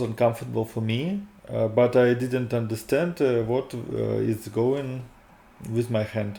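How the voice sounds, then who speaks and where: Speaking at a fairly slow pace, a man with a Russian accent uses a medium pitch. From Russia, Moscow. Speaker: video blogger. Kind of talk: personal testimony. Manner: halting, many fillers.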